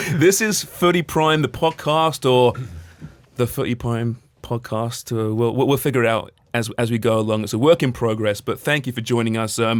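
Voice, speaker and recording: At a moderate pace and in a normal speaking voice, a man talks at a medium pitch that varies in an ordinary way. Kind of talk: podcast host banter. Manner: upbeat.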